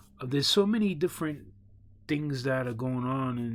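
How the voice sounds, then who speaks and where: The very clean recording, with its silent background, captures a man with a New York accent. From New York City, Brooklyn. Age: 40s. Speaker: online show host. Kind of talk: casual opinion monologue. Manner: halting, many fillers and repeats.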